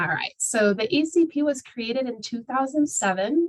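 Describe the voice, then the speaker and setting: A somewhat breathy woman's voice moves at a moderate pace with lively intonation. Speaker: outreach coordinator presenting a training webinar. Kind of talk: webinar presentation. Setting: video call. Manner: many filler words (um, uh).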